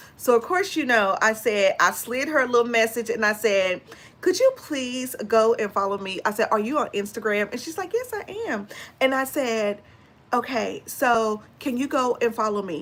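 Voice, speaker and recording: A woman with an American accent speaks at a fairly high pitch. Her tone is animated and her pace moderate. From Texas. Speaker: beauty and fragrance YouTuber. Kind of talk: casual livestream chat.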